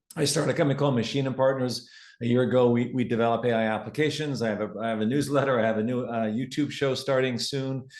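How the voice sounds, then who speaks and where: A man with a Canadian accent speaks at a very fast pace with hardly any pauses, his medium pitch following a fairly even intonation. Audible room echo surrounds the voice. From Canada. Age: 60s. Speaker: tech entrepreneur and business speaker. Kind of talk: live presentation to an audience.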